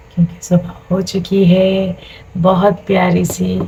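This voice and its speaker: A woman's voice over noticeable background noise. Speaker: family vlogger, mother. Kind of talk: casual vlog talk to camera. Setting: home kitchen, morning.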